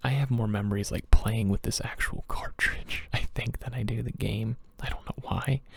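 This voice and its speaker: A man is speaking. He is soft-spoken and keeps a moderate pace. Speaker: ASMR creator. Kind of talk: ASMR soft-spoken ramble.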